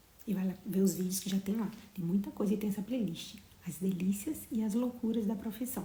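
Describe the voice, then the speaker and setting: Soft-spoken and at a medium pitch, a woman talks at a moderate pace with fairly even intonation. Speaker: motivational live streamer. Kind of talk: casual live stream chat. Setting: home livestream, bedroom. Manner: speaking softly.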